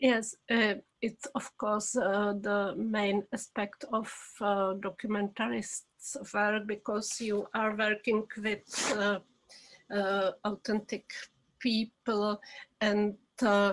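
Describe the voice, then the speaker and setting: Speaking in a Czech accent at a very slow pace, a woman keeps a medium pitch, a monotone, flat intonation and very even loudness. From Czech Republic. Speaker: documentary filmmaker. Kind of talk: interview. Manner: halting.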